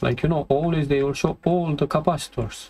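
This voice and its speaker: A man with a non-native accent, fairly high in pitch, at a moderate pace. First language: not English. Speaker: electronics repair technician. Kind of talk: tutorial. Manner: halting.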